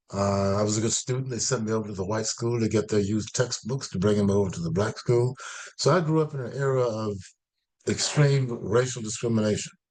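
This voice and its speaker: Talking at a very fast pace in an American accent, a man uses a medium pitch with ordinary pitch variation. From US South, Florida. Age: 80s+. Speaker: professor and historian. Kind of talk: interview. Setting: video call. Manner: halting.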